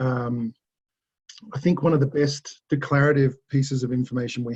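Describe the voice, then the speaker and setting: A man with an Australian accent speaks in a medium pitch, somewhat breathy, with monotone, flat intonation. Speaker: resilience consultant. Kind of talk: webinar presentation.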